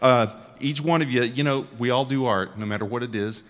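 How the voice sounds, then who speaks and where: In a Texan accent, a man talks at a fairly quick pace. His pitch is medium, with ordinary pitch variation. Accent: Texan US Southern. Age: 60s. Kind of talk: talk to a live audience. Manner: conversational, joking, interactive.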